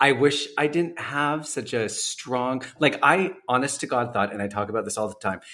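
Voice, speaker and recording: A man with a Canadian accent speaks at a moderate pace, at a medium pitch with ordinary pitch variation. His tone is bright and sharp, and he hardly pauses at all. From western Canada. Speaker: podcast host. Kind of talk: casual interview.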